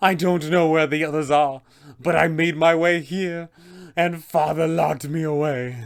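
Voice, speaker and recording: This man puts on a character voice, pitched fairly high, and talks at a moderate pace. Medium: tutorial demo. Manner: pleading.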